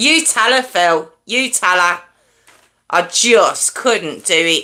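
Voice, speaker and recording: Very slow speech from a woman with a fairly high, bright, sharp voice, very wide pitch swings and very even loudness. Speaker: true crime livestream host. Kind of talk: casual chat with live chat viewers. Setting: livestream with headphones.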